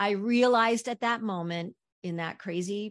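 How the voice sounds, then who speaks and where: Against a quiet background, a woman speaks very slowly with fairly even intonation. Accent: American. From New Jersey, US. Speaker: Broadway actress and singer. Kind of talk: interview.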